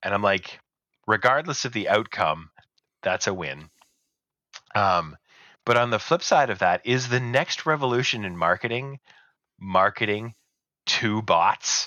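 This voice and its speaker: This man speaks at a fairly slow pace with lively intonation. Long pauses come often. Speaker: podcast host. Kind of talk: casual chat.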